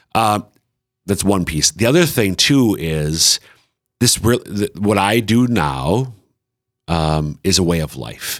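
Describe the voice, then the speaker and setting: A man with an Upper Midwest accent speaks at a fairly slow pace in a very deep, low pitch, his intonation lively and the sound dry and close with no echo. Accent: Upper Midwest American. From central Minnesota. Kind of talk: casual chat.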